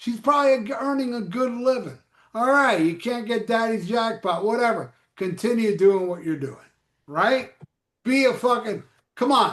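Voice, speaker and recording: This man's animated delivery sits at an extremely high pitch, moving at a moderate pace with ordinary pitch variation. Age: 60s. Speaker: rock music podcast co-host. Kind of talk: casual chat.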